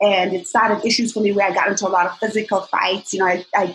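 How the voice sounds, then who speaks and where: Speaking at a very fast pace, a woman uses a medium pitch. Her intonation is monotone and flat, and her voice is somewhat breathy. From Zimbabwe. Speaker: fitness coach and bikini competitor. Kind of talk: interview conversation.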